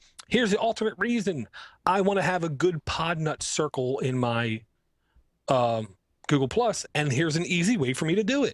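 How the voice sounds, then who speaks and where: Very wide pitch swings at a moderate pace, in a dry, close sound with no echo. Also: man, very even loudness. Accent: Baltimore. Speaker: podcast co-host. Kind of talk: casual chat. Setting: live-streamed podcast.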